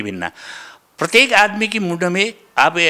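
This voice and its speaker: This man's bright, sharp tone swings very widely in pitch, set against a quiet background. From Nepal. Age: 70s. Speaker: retired school inspector and Sanskrit scholar. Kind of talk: interview testimony. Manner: halting. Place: studio. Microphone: handheld.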